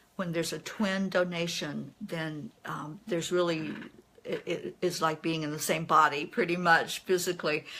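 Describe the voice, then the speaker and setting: Fairly low in pitch, a woman with an unremarkable speaking voice speaks at a fairly slow pace. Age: 60s. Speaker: kidney transplant recipient. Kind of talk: live stream Q&A. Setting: Facebook Live video.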